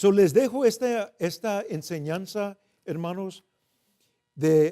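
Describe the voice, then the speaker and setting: A man speaks in a high voice with a dark, mellow tone. His pitch varies in an ordinary way, and the sound is dry and close with no echo. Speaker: preacher. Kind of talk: bilingual sermon. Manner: loud; code-switching Spanish and English.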